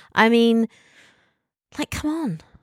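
A woman with an English accent speaks in a dry, close sound with no echo, on a very clean recording with a silent background. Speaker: podcast co-host. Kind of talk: casual chat.

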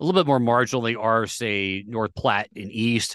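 A man speaks at a medium pitch and a moderate pace with ordinary pitch variation, in a plain, everyday voice. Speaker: extension climatologist hosting weather podcast. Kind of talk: weekly agricultural weather report and outlook, solo. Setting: recorded solo on campus. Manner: conversational, filler-heavy with frequent uh and um; self-correcting, occasionally stumbling over words mid-sentence.

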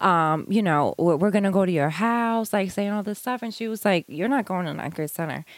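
In a very clean recording with a silent background, a woman with a New York accent talks at a moderate pace and medium pitch, with ordinary pitch variation and hardly any pauses. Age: 30s. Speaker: homeschooling mother. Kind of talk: casual interview.

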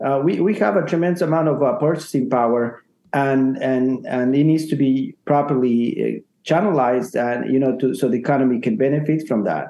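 Man with a Spanish accent at medium pitch, moderate pace, ordinary pitch variation and very even loudness. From Ecuador. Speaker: realtor. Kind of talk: casual chat.

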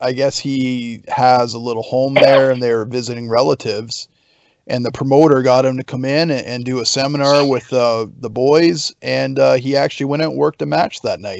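In an unremarkable speaking voice, a man talks at a moderate pace and medium pitch with ordinary pitch variation. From Canada. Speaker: pro wrestler. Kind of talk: casual chat.

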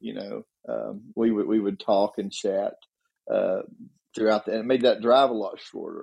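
Someone with a Southern US accent speaks at a fairly slow pace. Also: man. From Tennessee. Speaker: retired policeman. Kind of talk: casual chat.

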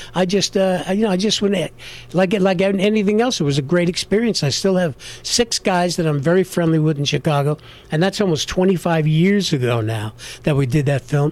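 Speaking at a moderate pace with a New York accent, a man uses a high pitch, lively intonation and very even loudness. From New York, South Bronx. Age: 60s. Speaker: actor. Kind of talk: interview.

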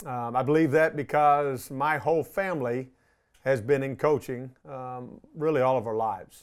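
In a Texan accent, a man talks at a moderate pace on a very clean recording with a silent background. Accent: Texan American. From Texas, Arlington. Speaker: high school football coach. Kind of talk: coaching clinic presentation.

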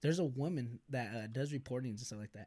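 This is an unremarkable speaking voice with an American accent. The intonation is lively. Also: man. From US West Coast, Bakersfield, California. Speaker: YouTuber. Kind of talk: casual chat.

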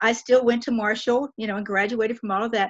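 Her voice is fairly high in pitch. The woman has an American accent. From West Virginia. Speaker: retired teacher and author. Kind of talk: interview. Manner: animated.

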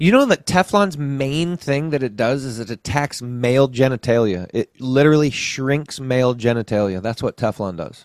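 In an American accent, a man with an ordinary speaking voice talks at medium pitch and a moderate pace, with lively intonation and hardly any pauses. The sound is dry and close with no echo, and the very clean recording has a silent background. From Colorado. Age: 40s. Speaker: food forest advocate. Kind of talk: casual chat.

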